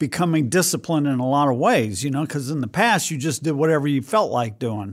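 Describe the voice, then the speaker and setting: A man speaks with lively intonation. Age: 60s. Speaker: pastor. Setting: studio.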